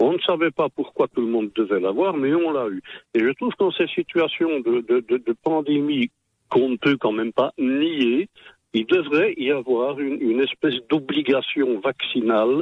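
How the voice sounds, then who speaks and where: With an unremarkable speaking voice, a man speaks fairly slowly, his pitch varying in an ordinary way. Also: fairly high pitch for a man. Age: 60s. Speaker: radio listener caller. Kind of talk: call-in comment.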